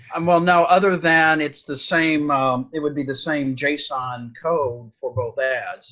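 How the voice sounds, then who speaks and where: A man speaks very slowly in a fairly high voice for a man, with fairly even intonation. Noticeable background noise sits behind him. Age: 60s. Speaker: coaching client learning Facebook marketing. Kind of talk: coaching session, casual chat.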